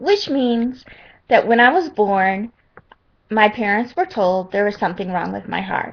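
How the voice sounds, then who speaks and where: Speaking fairly slowly, the woman has a fairly high voice. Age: 30s. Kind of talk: personal testimony to webcam.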